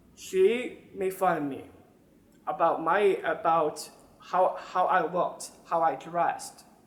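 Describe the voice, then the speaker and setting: Speaking at a very slow pace, a man is heard with noticeable background noise around him. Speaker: actor. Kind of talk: theatrical monologue. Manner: halting, repeats words.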